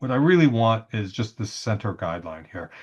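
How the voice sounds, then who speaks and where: Against a quiet background, a man at medium pitch talks at a very fast pace with lively intonation. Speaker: CAD drawing instructor. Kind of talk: tutorial. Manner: casual with many fillers and repetitions.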